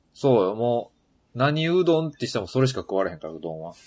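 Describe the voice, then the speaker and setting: A man with a medium pitch speaks with very wide pitch swings. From Yamaguchi, Japan. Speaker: podcast co-host. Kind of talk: casual chat.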